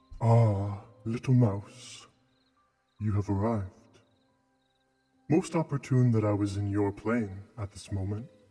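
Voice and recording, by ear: Music plays behind a man doing a put-on character voice at a fairly low pitch. He moves at a fairly slow pace with long, frequent pauses.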